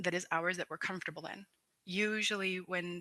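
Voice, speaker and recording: Dry, close sound with no echo captures a woman with a northern Canadian accent, a bright, sharp tone and a fairly low pitch. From Dene community, northern Canada. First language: Dene language. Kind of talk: panel presentation.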